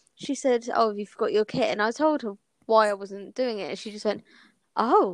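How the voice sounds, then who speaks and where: Speaking with an English accent, a woman uses a fairly high pitch and ordinary pitch variation. Her loudness swings widely. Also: moderate pace. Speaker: podcast co-host. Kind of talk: casual chat.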